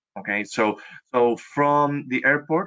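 With a Spanish accent, a man speaks at a fairly slow pace in fairly even intonation. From Chile, Santiago. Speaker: travel industry representative. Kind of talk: webinar presentation. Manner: halting, many fillers.

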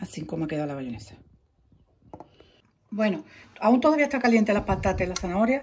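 A woman talks at a fairly quick pace with medium pitch and big pitch swings. Her tone is slightly mellow with a slightly husky edge.

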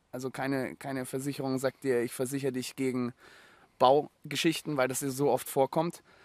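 Medium in pitch, a man speaks at a moderate pace in a flat monotone. The recording is very clean and silent behind him, with a dry, close sound and no echo. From Germany, Munich. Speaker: former actor turned homesteader. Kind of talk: casual interview. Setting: on location at a rural mill in Austria.

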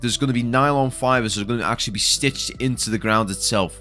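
Over music in the background, a man talks at a very fast pace with fairly even intonation. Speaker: stadium update narrator. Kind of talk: commentary.

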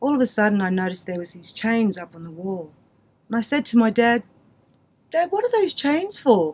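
A woman with an Australian accent, fairly high-pitched and fairly quick, with very wide pitch swings, big swings in loudness and long, frequent pauses. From Queensland, Australia (Mackay); Queensland, Australia. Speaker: community storyteller. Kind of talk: personal testimony. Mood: earnest, storytelling. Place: studio.

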